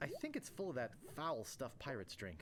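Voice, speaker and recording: Against clear background noise, a put-on character voice moves at a fairly quick pace. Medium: video game.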